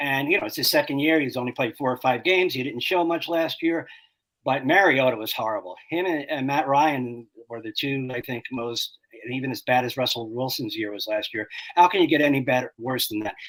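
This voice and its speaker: With an ordinary speaking voice, a man talks at a fairly quick pace, his fairly high pitch showing ordinary variation. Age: 60s. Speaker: fantasy football expert. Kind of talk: casual chat.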